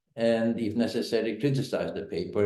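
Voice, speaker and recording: A man with a dark, mellow tone speaks at a moderate pace with fairly even intonation, his voice carrying an audible room echo. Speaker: think tank director hosting a webinar. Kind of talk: webinar moderation. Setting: online webinar. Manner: halting, many fillers.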